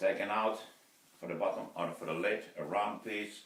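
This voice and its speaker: A man is speaking with audible room echo. Noticeable background noise fills the recording. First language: Finnish. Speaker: woodturner. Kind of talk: video blog tutorial. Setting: wood turning workshop. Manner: halting, many fillers.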